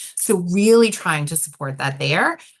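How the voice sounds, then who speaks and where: Against a quiet background, a woman with a New York accent speaks at a moderate pace with lively intonation. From New York City. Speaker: nonprofit director. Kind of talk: interview.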